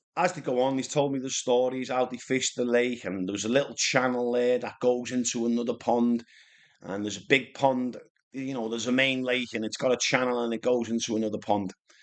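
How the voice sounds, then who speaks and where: Speaking with a Liverpool accent, a man talks at a fairly quick pace with fairly even intonation. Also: medium pitch for a man. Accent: Scouse (Liverpool). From Liverpool, England (Speke). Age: 50s. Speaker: carp angler, vlogger. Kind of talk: casual storytelling monologue. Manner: rambling, hesitant with repetitions.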